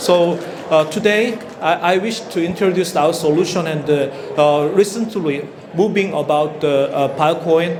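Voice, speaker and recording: Speaking with a Korean accent at a fairly slow pace, a man with a high pitch and ordinary pitch variation is heard with audible room echo and noticeable background noise. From South Korea. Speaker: company founder and CEO. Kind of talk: conference presentation. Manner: halting, many fillers.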